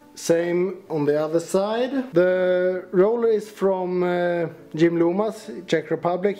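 Music plays in the background while the speech unfolds very slowly. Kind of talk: tutorial walkaround. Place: workshop. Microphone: phone near.

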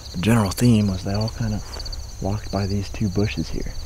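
Over noticeable background noise, a man speaks with a very deep, low pitch and fairly even intonation. His pace is fairly quick, and the sound is dry with no echo. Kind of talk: casual vlog chat. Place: open country. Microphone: camera far.

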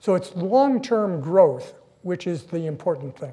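A man speaks with a dark, mellow tone at a fairly slow pace. The background is quiet. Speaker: guest lecturer. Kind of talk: lecture. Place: hall. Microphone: podium.

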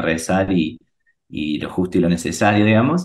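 A man speaks in a normal speaking voice, fairly low in pitch, with lively intonation. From Argentina, Río Cuarto, Córdoba. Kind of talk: interview.

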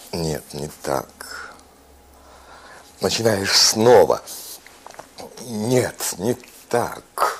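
The man talks at a very slow pace. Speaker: actor. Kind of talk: poetry reading. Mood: pensive, searching, expressive. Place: home room.

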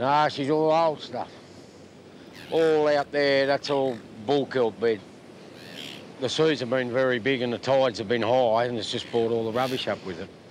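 Light background noise sits behind a man speaking at a moderate pace. His pitch varies in an ordinary way, and the sound is dry with no echo. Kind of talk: interview answer. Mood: relaxed, plain-spoken. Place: beach.

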